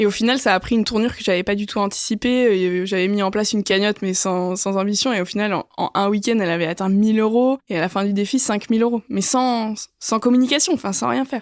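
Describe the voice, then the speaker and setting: A woman with a medium-pitched voice talks at a very fast pace with hardly any pauses, her loudness very even and her pitch variation ordinary. The recording is very clean and the background silent. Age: 20s. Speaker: business school student. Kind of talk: podcast testimony. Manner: hesitant, many fillers.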